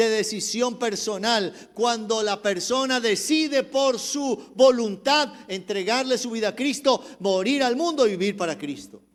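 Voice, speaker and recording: A man speaks at an extremely high pitch with ordinary pitch variation. He keeps a fairly slow pace with hardly any pauses. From Colombia, Cali. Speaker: pastor. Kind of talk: sermon.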